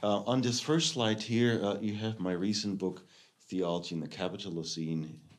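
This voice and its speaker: With lively intonation, a man speaks at a moderate pace. Room echo is audible. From Germany. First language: German. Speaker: theology professor. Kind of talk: lecture. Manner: halting, many fillers.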